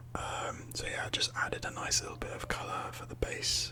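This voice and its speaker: A man whispers at a moderate pace. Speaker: ASMR creator and 3D modeller; ASMR creator. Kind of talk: ASMR tutorial narration. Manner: whispered, soft-spoken. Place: home room.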